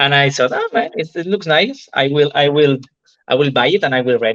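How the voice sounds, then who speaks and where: A man's fairly high voice with a Spanish accent, dry and close with no echo. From Spain. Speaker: entrepreneur and novelist. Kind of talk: interview testimony. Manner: halting.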